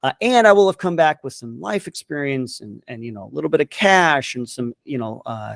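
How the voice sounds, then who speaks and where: A man with an American accent talks at a fairly quick pace with hardly any pauses, his medium-pitched voice making very wide pitch swings and big swings in loudness, in a dry, close sound with no echo. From Southern California. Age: 40s. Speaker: military veteran and content creator. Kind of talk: interview conversation.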